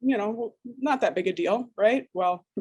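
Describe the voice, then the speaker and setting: A woman talks with an American accent. Her tone is dark and mellow. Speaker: digital forensics analyst. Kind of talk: interview. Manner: hesitant, many fillers and repeats.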